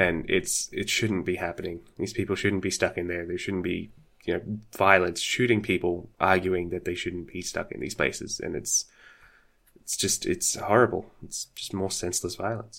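On a very clean recording with a silent background, a man with an Australian accent speaks at a moderate pace, his very deep, low voice keeping a fairly even intonation. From Australia, Sydney. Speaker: podcaster and streamer. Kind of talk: casual chat.

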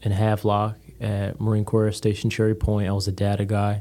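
A man speaks at a moderate pace with an American accent, his fairly low voice dark and mellow in tone. The recording is very clean, with a silent background. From Connecticut. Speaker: real estate broker, Marine veteran. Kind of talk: casual interview chat. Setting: studio. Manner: flat tone, even rate of speech.

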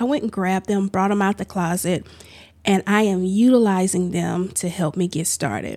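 Recorded very cleanly with a silent background, a woman talks at a moderate pace in an unremarkable speaking voice with fairly even intonation. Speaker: podcast host. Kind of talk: solo casual monologue. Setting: home office studio. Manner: chatty, informal.

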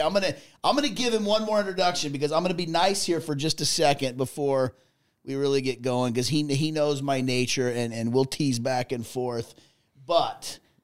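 Here is a plain, everyday voice, moving at a moderate pace with ordinary pitch variation. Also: man. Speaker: podcast co-host, trucking company manager. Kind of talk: casual chat. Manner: jokey, laughs often.

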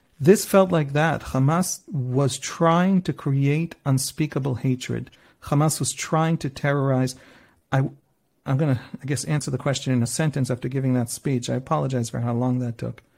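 In a very clean recording with a silent background, a man speaks at a medium pitch, somewhat breathy, with ordinary pitch variation. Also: moderate pace. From Israel. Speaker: journalist. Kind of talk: interview.

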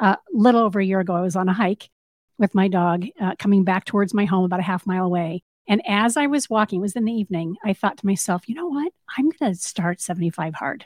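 A woman of medium pitch speaks very fast and somewhat breathily with ordinary pitch variation, in a dry, close sound with no echo. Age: 50s. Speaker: radio host. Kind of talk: radio interview. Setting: studio.

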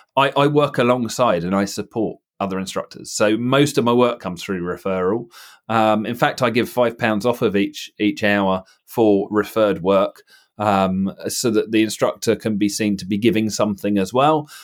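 At a moderate pace, this normal speaking voice carries ordinary pitch variation. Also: man, fairly low pitch for a man. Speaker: theory test trainer and driving instructor. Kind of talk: casual chat. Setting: video call.

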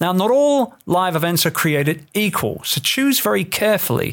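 A man with an English accent and very wide pitch swings, in a very clean recording with a silent background. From England. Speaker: entrepreneur and author. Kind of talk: reading aloud from own book.

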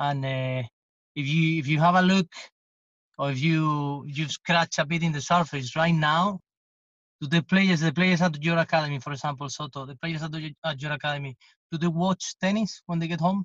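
In a Spanish accent, a man speaks with a fairly high pitch and fairly even intonation at a moderate pace against a quiet background. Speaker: tennis coach. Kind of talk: podcast interview.

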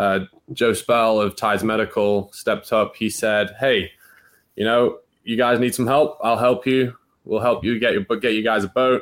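A man in a Manchester accent, medium pitch, fairly even intonation, moderate pace, on a very clean recording with a silent background. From northern England, North Manchester. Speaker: college water skier. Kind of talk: podcast interview.

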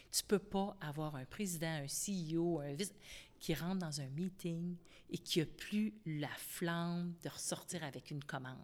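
In a Quebec accent, a woman with a fairly low pitch speaks at a fairly slow pace with ordinary pitch variation. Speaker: company founder. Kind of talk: interview.

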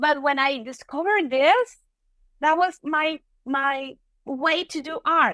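Speech comes at a very slow pace with long, frequent pauses, in a raised, projected voice with a bright, sharp tone and a Venezuelan accent, recorded dry and close with no echo. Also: woman, high pitch for a woman, ordinary pitch variation. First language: Spanish. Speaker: software engineer and tech lead. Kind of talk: interview. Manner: halting.

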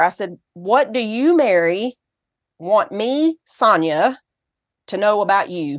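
A woman's fairly high-pitched voice with a Southern US accent, very wide pitch swings and a fairly slow pace over a quiet background. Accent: Southern US, noticeable. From Tennessee, US South. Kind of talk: interview. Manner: animated.

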